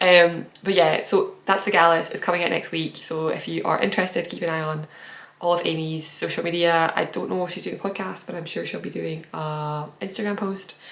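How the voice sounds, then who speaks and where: Speaking at a fairly quick pace, a woman keeps her fairly low voice in fairly even intonation. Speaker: knitting podcaster. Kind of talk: casual podcast monologue. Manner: fast.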